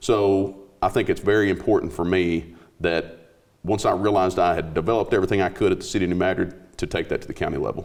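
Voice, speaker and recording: A man talks at a very fast pace. He has a Southern Midland US accent. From US Midwest, southeast Missouri. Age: 40s. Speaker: police chief, sheriff candidate. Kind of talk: interview.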